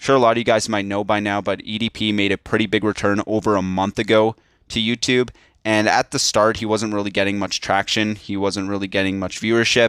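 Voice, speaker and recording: On a very clean recording with a silent background, a man talks at a fairly quick pace with fairly low pitch and monotone, flat intonation, the sound dry and close with no echo. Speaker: YouTube commentator. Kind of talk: rant video.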